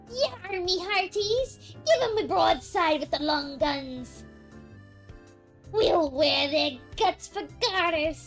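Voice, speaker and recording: A woman shouts in a put-on character voice at a high pitch and a very slow pace. Clear music plays in the background. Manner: swaggering, shouting orders.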